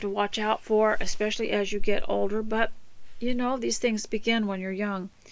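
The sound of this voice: At a moderate pace, a woman speaks in a medium pitch with little pitch movement.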